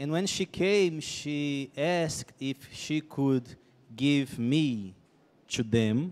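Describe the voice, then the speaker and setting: A man speaks at a very slow pace. His pitch is fairly high, with ordinary variation. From Brazil. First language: Portuguese (speaking Spanish). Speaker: missionary speaker; speaker. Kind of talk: testimony. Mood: earnest, reflective storytelling. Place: stage. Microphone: handheld.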